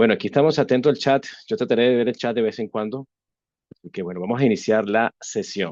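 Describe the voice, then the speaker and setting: A man with a Venezuelan accent speaks at a moderate pace and medium pitch with lively intonation, in a dry, close sound with no echo against a quiet background. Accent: Venezuelan Spanish accent, noted by himself. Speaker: webinar presenter on AI governance. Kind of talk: webinar lecture. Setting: online webinar. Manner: hesitant, many fillers and restarts.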